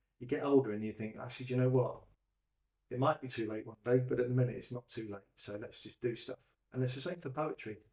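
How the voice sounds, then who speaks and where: Somewhat breathy and dark, mellow in tone, a man speaks at a very fast pace in a medium pitch with fairly even intonation and big swings in loudness. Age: 60s. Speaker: poet running a poetry group. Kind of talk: casual interview.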